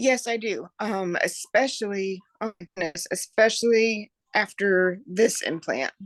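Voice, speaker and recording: Fairly slow speech with a Kentucky accent, in a dry, close sound with no echo. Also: woman. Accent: Southern US (Kentucky). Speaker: epilepsy patient sharing experience. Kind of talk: interview.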